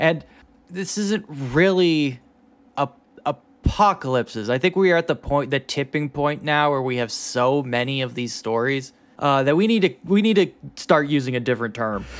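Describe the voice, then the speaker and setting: Lively intonation marks this man's fairly high pitch in an ordinary speaking voice. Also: moderate pace. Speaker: podcast host. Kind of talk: casual comedic banter.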